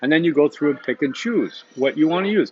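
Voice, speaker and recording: At a very fast pace, a man with a fairly high pitch talks with lively intonation. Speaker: university instructor. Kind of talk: recorded lecture. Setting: coffee shop.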